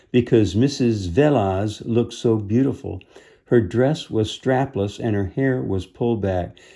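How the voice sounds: With ordinary pitch variation, the delivery is a natural reading voice.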